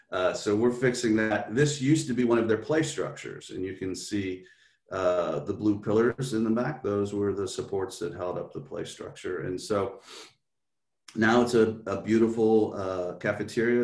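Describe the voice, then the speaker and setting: Audible room echo around a man's medium-pitched voice, moving at a moderate pace. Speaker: school district official. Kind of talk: presentation.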